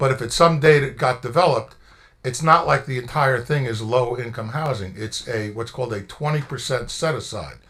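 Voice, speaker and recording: Audible echo fills the room. The talking goes at a fairly quick speed. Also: man, medium pitch for a man, ordinary pitch variation. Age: 60s. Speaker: township attorney. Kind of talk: public meeting explanation. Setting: council meeting room.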